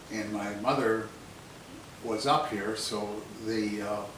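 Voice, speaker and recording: With an American accent, a man at a medium pitch speaks amid audible room echo and noticeable background noise. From northern Michigan, US. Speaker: fruit farmer. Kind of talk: oral history interview. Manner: hesitant, many fillers.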